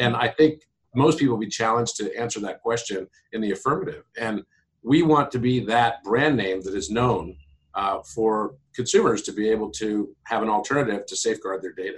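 Somewhat breathy and medium in pitch, a man talks at a moderate pace with ordinary pitch variation. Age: 50s. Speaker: tech company founder and CEO. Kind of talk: interview. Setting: radio studio.

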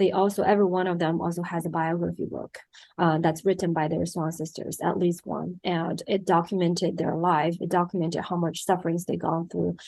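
The voice has a dark, mellow tone with vocal fry and a Chinese accent. Delivery is fairly quick, with monotone, flat intonation. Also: woman, fairly low pitch for a woman, hardly any pauses. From China. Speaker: documentary film director. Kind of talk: interview.

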